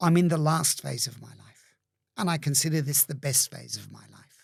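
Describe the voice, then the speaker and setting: A somewhat breathy man at a fairly high pitch, moderate pace and fairly even intonation, on a very clean recording with a silent background. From migrated young to Australia. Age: 60s. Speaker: entrepreneur. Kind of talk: interview conversation.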